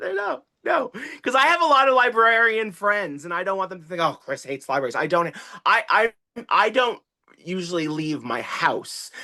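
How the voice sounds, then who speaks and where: A man talks in a raised, projected voice that sits high in pitch, with an animated delivery and very wide swings up and down. His tone is bright and sharp, set against a quiet background. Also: moderate pace. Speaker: TikTok creator and children's author. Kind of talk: casual chat. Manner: loud.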